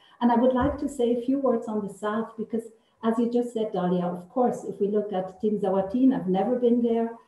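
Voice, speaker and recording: A woman speaks at a fairly high pitch with fairly even intonation amid audible room echo. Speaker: political researcher. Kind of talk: panel discussion. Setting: video call. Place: office. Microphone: video call.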